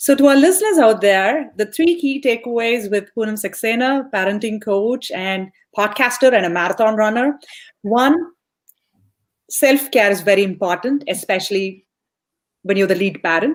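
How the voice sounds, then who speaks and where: A woman's fairly high voice at a moderate pace, a normal speaking voice with lively intonation. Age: young. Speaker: podcast host. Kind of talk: interview.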